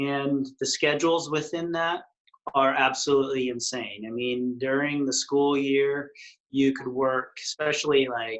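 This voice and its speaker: A normal speaking voice with an American accent moves at a fairly slow pace in fairly even intonation. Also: man, fairly high pitch for a man. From West Texas. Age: 40s. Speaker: retreat chef. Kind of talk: interview.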